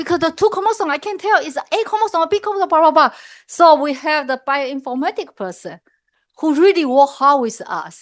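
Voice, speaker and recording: A loud, high-pitched woman's voice at a fairly quick pace, with very wide pitch swings over a quiet background. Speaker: professor. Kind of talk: lecture.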